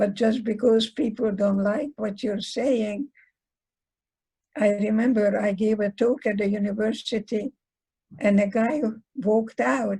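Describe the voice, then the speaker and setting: A woman with a Hungarian accent speaks at a fairly slow pace, somewhat breathy, with fairly even intonation. Her pitch is fairly high and her tone dark and mellow. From Hungary. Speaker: psychologist. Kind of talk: lecture.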